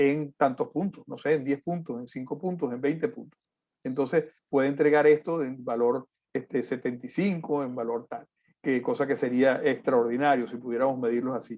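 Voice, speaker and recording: With a fairly high voice and ordinary pitch variation, a man is talking. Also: moderate pace, big swings in loudness. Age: 50s. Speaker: civil engineer, conference speaker. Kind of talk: lecture. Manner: frequent fillers and hesitations.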